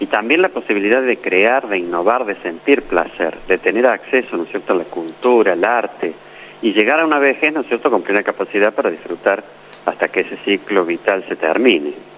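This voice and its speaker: The delivery is fairly quick with lively intonation, set against noticeable background noise. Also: man, fairly low pitch for a man. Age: 60s. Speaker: doctor, former health minister. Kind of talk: interview.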